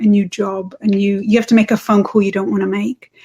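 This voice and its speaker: A woman with an English accent, somewhat breathy, with a dark, mellow tone. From England. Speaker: parenting coach. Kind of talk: interview.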